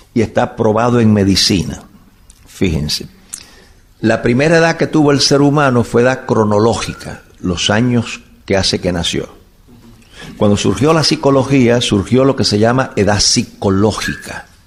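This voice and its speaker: Over noticeable background noise, a medium-pitched man talks at a fairly slow pace with lively intonation and very even loudness. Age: 70s. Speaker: bible teacher. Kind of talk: lecture. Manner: animated.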